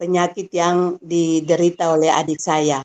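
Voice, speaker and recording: A woman of medium pitch speaks very slowly. The sound is dry and close, with no echo. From Maluku, Tanimbar Islands, eastern Indonesia. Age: 60s. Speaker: retired school supervisor, business community member. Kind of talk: testimony in an online class interview. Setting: online live class. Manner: halting, with frequent fillers.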